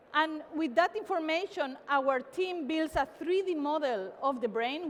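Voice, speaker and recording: In a Spanish accent, a woman speaks at a high pitch. Her intonation is lively. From Spain, Barcelona. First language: Spanish or Catalan. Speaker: tech company CEO. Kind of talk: keynote talk. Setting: stage with audience. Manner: animated.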